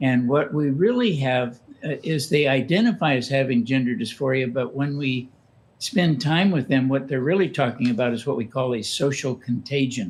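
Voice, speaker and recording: A somewhat breathy man at a medium pitch, with ordinary pitch variation and a moderate pace. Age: 80s+. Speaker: author and counselor on gender identity. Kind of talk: interview.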